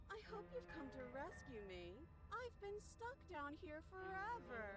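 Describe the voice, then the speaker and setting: A woman's put-on character voice at a fairly slow pace over loud background noise. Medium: video game. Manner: threatening edge under false pleading.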